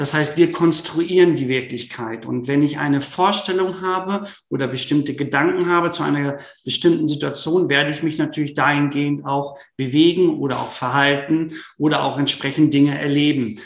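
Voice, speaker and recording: A man with a fairly high pitch, an ordinary speaking voice, fairly even intonation and a moderate pace. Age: 40s. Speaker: sports psychology professor. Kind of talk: interview.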